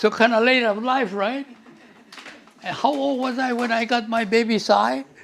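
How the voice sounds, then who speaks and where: Over noticeable background noise, a man talks with an extremely high pitch and fairly even intonation at a fairly slow pace. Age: 80s. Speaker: family elder. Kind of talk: family reminiscence.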